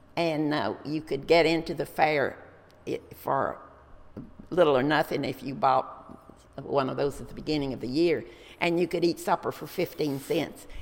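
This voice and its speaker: A woman with a Texan accent and a very deep, low pitch talks at a moderate pace with fairly even intonation and long, frequent pauses. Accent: Texan Southern US. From Texas, Dallas. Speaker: local historian and retiree. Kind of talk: interview, life story.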